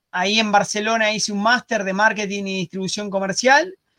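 A man's high-pitched voice with a Rioplatense accent, a bright, sharp tone and a moderate pace. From Argentina. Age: 40s. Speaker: digital marketing entrepreneur. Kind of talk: interview.

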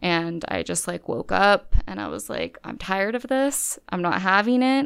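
A woman with an American accent has an ordinary speaking voice at medium pitch and ordinary pitch variation. She keeps a moderate pace on a very clean recording with a silent background. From California. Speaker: law student. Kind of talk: interview. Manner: casual, filler-heavy.

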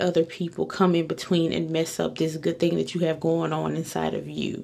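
A woman speaks at a fairly low pitch. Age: 20s. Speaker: podcast host. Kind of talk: casual monologue. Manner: hesitant, many fillers.

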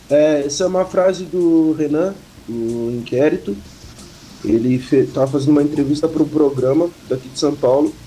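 A man talks at a moderate pace with a fairly high pitch and ordinary pitch variation. There is noticeable background noise. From Pelotas, Rio Grande do Sul, Brazil. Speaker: rapper. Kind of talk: interview.

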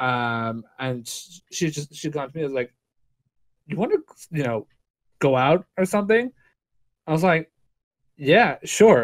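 A man talks fairly slowly in a fairly high voice, with long, frequent pauses and very wide pitch swings. His loudness varies greatly, and the sound is dry and close with no echo. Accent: Irish. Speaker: podcast co-host. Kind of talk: casual chat. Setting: video call.

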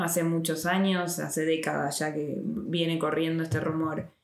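At a fairly slow pace, a woman talks in an unremarkable speaking voice with a fairly low pitch. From Argentina. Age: 30s. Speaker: podcast host. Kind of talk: interview. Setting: in person recording.

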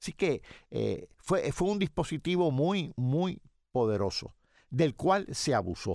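Very wide pitch swings on a very clean recording with a silent background. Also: man. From Puerto Rico, Yauco. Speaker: retired economics professor. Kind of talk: radio interview.

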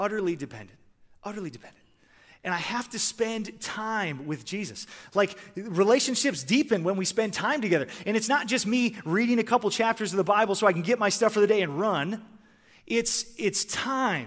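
A man speaks at a high pitch in an energetic tone with a Midwestern American accent. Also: ordinary pitch variation, moderate pace. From Michigan. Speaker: former pro hockey player turned sports minister. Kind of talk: chapel talk.

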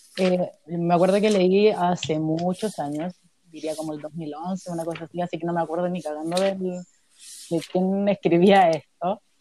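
With a Chilean accent, a woman speaks at a fairly slow pace with a fairly low pitch. Her tone is dark and mellow, and her intonation is monotone and flat. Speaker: social anthropologist. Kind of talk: casual chat.

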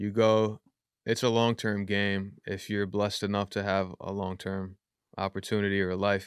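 In a very clean recording with a silent background and a dry, close sound with no echo, a man with a New York accent speaks at a moderate pace in a fairly low pitch with monotone, flat intonation. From Yonkers, New York. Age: 30s. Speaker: rapper. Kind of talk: casual chat. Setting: studio.

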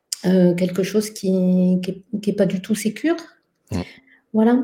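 A woman with a dark, mellow tone and a somewhat breathy medium-pitched voice speaks at a fairly slow pace with fairly even intonation. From France. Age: 50s. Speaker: somatic educator and researcher. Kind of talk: casual conversation.

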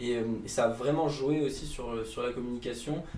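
With audible room echo, a man speaks at a moderate pace and with fairly even intonation. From Provence. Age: 20s. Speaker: entrepreneur. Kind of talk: interview. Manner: hesitant, filler-heavy.

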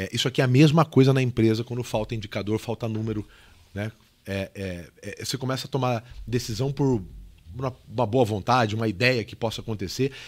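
A man's unremarkable speaking voice, medium in pitch and fairly quick, with ordinary pitch variation. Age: 40s. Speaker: podcast host, sales trainer. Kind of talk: casual interview chat.

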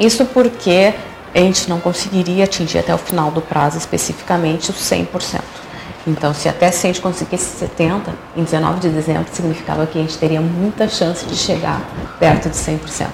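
Over noticeable background noise, a woman with a fairly low pitch speaks at a moderate pace and with fairly even intonation. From Porto Alegre, southern Brazil. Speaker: electoral office head. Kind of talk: interview.

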